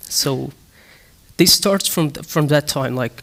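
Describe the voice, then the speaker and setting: A man speaks with a Kurdish accent. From Syria, Damascus (Kurdish). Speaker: human-rights activist. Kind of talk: panel discussion. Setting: stage with audience. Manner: halting, many fillers and restarts.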